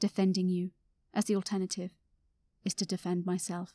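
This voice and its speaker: A woman's dark, mellow, medium-pitched voice with a deadpan tone and a fairly quick pace, dry and close with no echo, on a very clean recording with a silent background. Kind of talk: poem performed, spoken-word poetry about work burnout. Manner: wry, deadpan, bitterly ironic.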